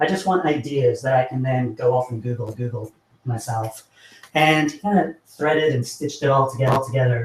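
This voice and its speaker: This man has an American accent and a somewhat breathy voice at a medium pitch. He moves at a fairly quick pace with ordinary pitch variation. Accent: sounds American. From not American. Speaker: software engineer, meetup speaker. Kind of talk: tech talk presentation. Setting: meetup with live audience. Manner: halting, many repeated words.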